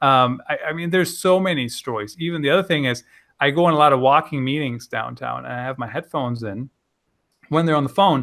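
Using an ordinary speaking voice, a man speaks fairly quickly in a fairly high pitch with ordinary pitch variation. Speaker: content marketing author. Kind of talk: casual interview.

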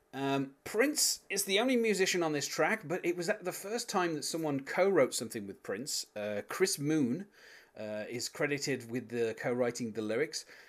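With a British accent and a fairly high pitch, a man speaks in very wide pitch swings on a very clean recording with a silent background. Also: moderate pace. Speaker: podcast host. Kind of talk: casual podcast discussion. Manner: hesitant, filler-heavy.

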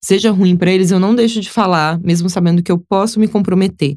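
A woman speaks at a fairly quick pace in a medium pitch, with ordinary pitch variation. The recording is very clean, with a silent background. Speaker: influencer and model. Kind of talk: casual interview.

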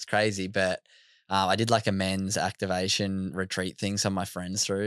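A man with an Australian accent speaks at a fairly quick pace with a very deep, low pitch and monotone, flat intonation. The recording is very clean, with a silent background. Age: 20s. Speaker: mental health speaker. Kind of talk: casual chat. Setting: studio.

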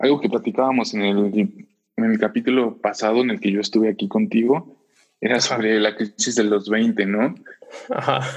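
This is a man with a Mexican accent. His pitch is medium. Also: ordinary pitch variation, moderate pace. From Mexico, Puebla. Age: 20s. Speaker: podcast guest, student. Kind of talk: casual chat.

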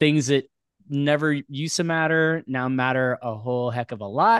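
This man has an ordinary speaking voice at medium pitch, recorded with a dry, close sound with no echo against a quiet background. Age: 40s. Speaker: podcast co-host. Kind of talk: casual interview chat.

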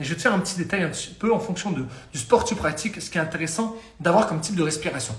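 A man speaks at a very fast pace in an animated tone with lively intonation, amid audible room echo and noticeable background noise. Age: 20s. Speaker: fitness coach. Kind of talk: live-stream talk. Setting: live stream.

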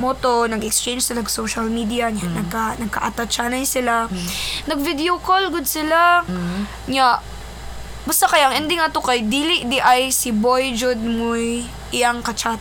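Lively intonation in a Philippine accent, with audible room echo and noticeable background noise. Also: woman, high pitch for a woman, moderate pace. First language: Cebuano (speaking Tagalog). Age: young. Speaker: podcast co-host. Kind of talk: casual chat.

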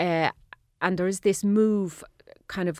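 Recorded dry and close with no echo against a silent background in a very clean recording, a woman speaks slowly-ish, at a fairly slow pace, in a fairly low pitch. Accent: Irish. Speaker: radio host. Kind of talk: radio interview. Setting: outdoors in a garden; studio.

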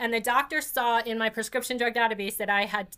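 The tone is bright and sharp, with a New York accent and fairly even intonation. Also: woman. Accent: New York area American. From New Jersey (New York area). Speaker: podcast host and patient advocate. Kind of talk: casual interview conversation.

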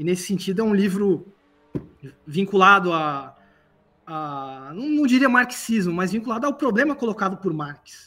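Raised and projected, the man's voice is high-pitched, with a bright, sharp tone and very wide pitch swings. He keeps a moderate pace with long, frequent pauses. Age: 40s. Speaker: philosophy professor. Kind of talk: casual chat.

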